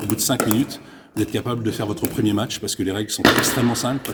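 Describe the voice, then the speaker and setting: Noticeable background noise fills the recording. Through it comes a man's voice, medium in pitch. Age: 60s. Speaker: pickleball club manager. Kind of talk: interview.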